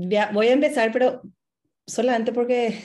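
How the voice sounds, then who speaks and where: This woman's voice has a dark, mellow tone and is somewhat breathy. Her pitch varies in an ordinary way. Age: 30s. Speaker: dieting support group member, mother. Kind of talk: group conversation.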